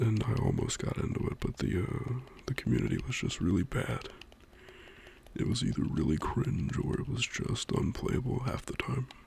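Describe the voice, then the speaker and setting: A soft-spoken man is whispering. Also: moderate pace. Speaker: ASMR creator. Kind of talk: casual talk to camera about games. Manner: soft-spoken, whispered.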